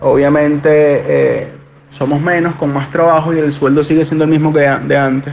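There is noticeable background noise as a man speaks in a monotone, flat intonation. His pitch is fairly high and his pace moderate. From Venezuela, Caracas. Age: 20s. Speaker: bank employee and student. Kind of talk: interview testimony.

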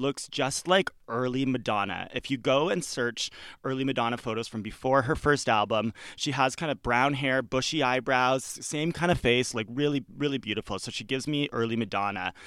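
A man has a plain, everyday voice with medium pitch and ordinary pitch variation. He talks at a fairly quick pace in a very clean recording with a silent background. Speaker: guest, friend of the host. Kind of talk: casual chat.

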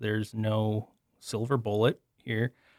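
Recorded with a dry, close sound and no echo, a man with an unremarkable speaking voice talks at a medium pitch and a fairly slow pace. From eastern Wisconsin. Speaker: agronomy professor. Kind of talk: interview.

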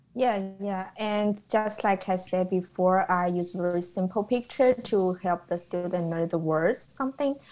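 A woman speaks with a Chinese accent at a fairly slow pace. Her pitch is medium, with ordinary variation. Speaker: student and preschool Chinese teacher. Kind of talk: casual academic discussion.

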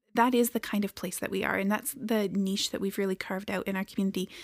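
Soft-spoken, a woman is heard in a very clean recording with a silent background and a dry, close sound with no echo. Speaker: homeless shelter director. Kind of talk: casual chat.

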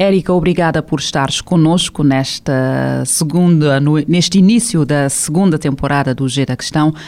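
The speech moves at a moderate pace with hardly any pauses and ordinary pitch variation, set against noticeable background noise. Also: woman, very deep, low pitch for a woman. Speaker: radio host and journalist. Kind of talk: radio interview, show introduction. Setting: radio studio. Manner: formal.

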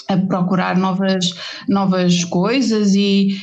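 Amid noticeable background noise and audible room echo, a woman speaks very slowly with a European Portuguese accent. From Portugal, rural village (Forcada, Águeda area). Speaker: designer, therapist and pastry maker. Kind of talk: interview conversation. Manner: hesitant, with fillers.

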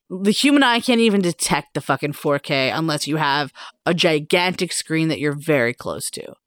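Recorded with a dry, close sound and no echo, a woman with a very deep, low pitch speaks in an animated tone with lively intonation. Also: moderate pace, very clean recording, silent background. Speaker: podcast co-host. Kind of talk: casual chat. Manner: animated, laughs often, swears.

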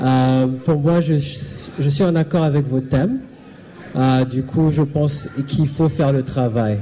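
Against noticeable background noise, a man with a fairly high pitch speaks very slowly, his intonation fairly even and his loudness very even. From Burundi, raised partly in Zimbabwe. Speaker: panelist, community service worker. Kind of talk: panel discussion. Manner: halting.

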